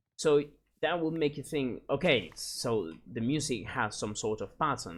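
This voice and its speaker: A man with lively intonation at a moderate pace. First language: Spanish. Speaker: gaming YouTuber. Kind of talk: casual gameplay commentary. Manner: halting, searching for words.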